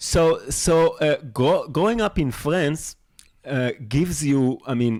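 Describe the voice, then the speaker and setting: Speaking at a very slow pace with lively intonation, a man with a French accent has a fairly high pitch, captured in a very clean recording with a silent background. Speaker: podcast host. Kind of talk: casual interview conversation. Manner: halting, many stammers and restarts.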